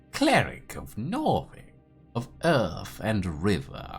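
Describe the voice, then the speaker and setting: A put-on character voice speaks at a very slow pace, with faint music in the background. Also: man, fairly low pitch for a man. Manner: haughty, threatening.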